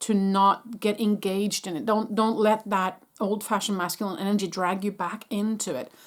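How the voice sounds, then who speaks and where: A woman's medium-pitched voice with a non-native accent and fairly even intonation, at a moderate pace with hardly any pauses, in a very clean recording with a silent background. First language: not English. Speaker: spiritual channeler. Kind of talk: energy update talk to camera. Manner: halting, with restarts.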